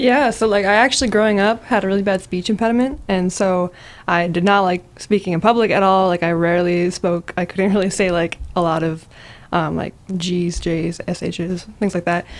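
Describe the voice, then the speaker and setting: An ordinary speaking voice from a woman, at medium pitch and a moderate speed, its pitch varying in an ordinary way. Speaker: college student and music producer. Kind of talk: casual chat. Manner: casual, many filler words.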